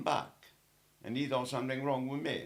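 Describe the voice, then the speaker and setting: Amid audible room echo, a man of medium pitch speaks with an Italian accent. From Italy. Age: 80s+. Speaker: elderly interviewee. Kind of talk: casual interview. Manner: halting.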